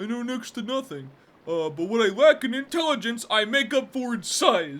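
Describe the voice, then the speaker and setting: Here is a man doing a put-on character voice at an extremely high pitch. His pitch swings very widely, and he moves at a moderate pace. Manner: funny, slow, dumb.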